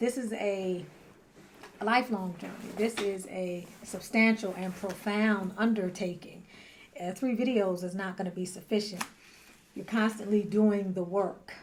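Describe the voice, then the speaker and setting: Soft-spoken and fairly slow, a woman talks in a medium pitch with fairly even intonation. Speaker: spiritual teacher and tarot reader. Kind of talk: talking-head monologue.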